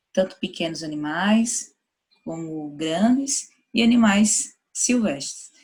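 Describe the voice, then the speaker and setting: With a northeastern Brazilian accent, the speaker talks at a fairly slow pace in a somewhat breathy voice with very wide pitch swings. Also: woman. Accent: northeastern Brazilian (Sergipe). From Sergipe, northeastern Brazil. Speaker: university professor of veterinary anesthesiology. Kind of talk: lecture. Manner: casual, conversational.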